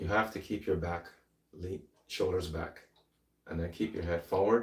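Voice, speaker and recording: Somewhat breathy and very deep, a man's voice moves at a moderate pace with fairly even intonation. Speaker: fitness trainer, former bodybuilder. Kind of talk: workout tutorial. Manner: halting, casual.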